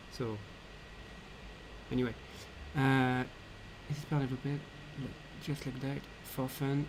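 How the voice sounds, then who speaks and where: A man speaks at a medium pitch and a moderate pace, somewhat breathy. His intonation is monotone and flat, with long, frequent pauses. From France. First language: French. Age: 20s. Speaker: 3D artist and game developer. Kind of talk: live Q&A stream. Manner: halting, many fillers.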